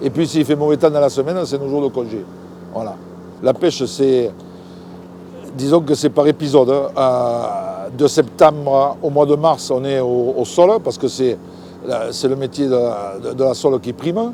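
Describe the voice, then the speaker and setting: A man at medium pitch, fairly slow and with long, frequent pauses, his intonation lively against noticeable background noise. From southern France, Languedoc (Palavas-les-Flots). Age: 60s. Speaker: fisherman. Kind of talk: interview. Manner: casual, halting with repetitions.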